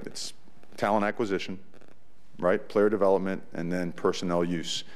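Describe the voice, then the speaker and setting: The man's pitch is fairly low. Audible room echo surrounds his voice. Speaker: college football head coach. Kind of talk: press conference. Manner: animated.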